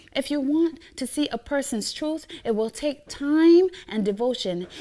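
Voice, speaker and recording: A woman's high voice with very wide pitch swings, at a moderate pace. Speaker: spoken word poet. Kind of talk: spoken word poetry performance.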